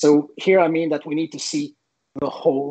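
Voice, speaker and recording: A man speaks with a Quebec accent. His intonation is fairly even. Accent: French Canadian accent in English. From Quebec, Canada (French Canadian, Sherbrooke). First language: French. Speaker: teacher. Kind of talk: presentation. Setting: online event.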